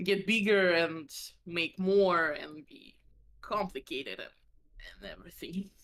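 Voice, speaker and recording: Very slow and in a Russian accent, a woman speaks with a bright, sharp tone. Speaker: vtuber. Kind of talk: casual chat. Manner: halting.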